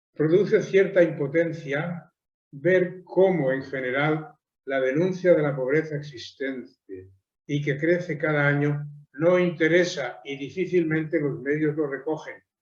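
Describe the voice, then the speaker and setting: Audible room echo surrounds a man with a fairly high pitch. He speaks fairly slowly, his pitch varying in an ordinary way. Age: 80s+. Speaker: theologian and lecturer. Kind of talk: lecture.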